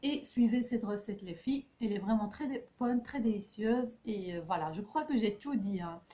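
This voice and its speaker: With hardly any pauses, a woman talks at a moderate pace in a fairly high voice with ordinary pitch variation. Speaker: health and beauty vlogger. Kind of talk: casual recipe vlog talk. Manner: hesitant, many fillers.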